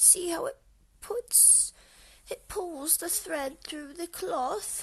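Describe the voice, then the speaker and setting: Using a put-on character voice, a woman speaks at a very slow pace and an extremely high pitch. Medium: read story. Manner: gentle, coaxing.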